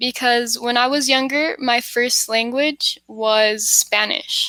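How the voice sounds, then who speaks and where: Very slow in pace, a woman with an American accent speaks at a high pitch with fairly even intonation. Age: 20s. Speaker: English tutor. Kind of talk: casual chat.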